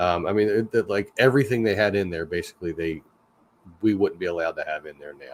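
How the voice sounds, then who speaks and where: A man speaks with a Philadelphia accent. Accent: Philly. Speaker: livestream host, park worker. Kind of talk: casual chat. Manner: halting.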